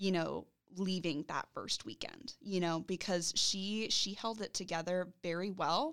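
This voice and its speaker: This woman has a plain, everyday voice at medium pitch with ordinary pitch variation. She speaks at a fairly slow pace. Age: 20s. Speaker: university career strategist. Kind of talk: casual chat.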